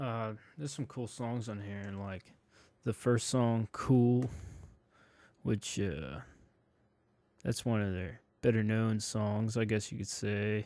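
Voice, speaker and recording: A man's dark, mellow tone at a very slow pace, with long, frequent pauses, ordinary pitch variation, and a very clean recording with a silent background. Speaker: music reviewer. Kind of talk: casual review monologue. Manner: hesitant, filler-heavy.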